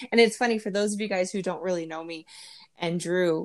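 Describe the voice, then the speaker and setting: Her pitch medium and its variation ordinary, a woman speaks in a plain, everyday voice. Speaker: opera singer and podcast host. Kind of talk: casual interview chat.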